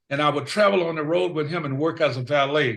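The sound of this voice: At a moderate pace, a man speaks with a fairly high pitch, a fairly bright tone, fairly even intonation and vocal fry, with audible room echo around him.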